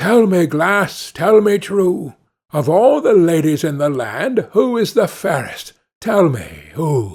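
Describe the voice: A man puts on a character voice, fairly high in pitch, with big pitch swings, a slow pace, a slightly husky edge and a slightly mellow tone.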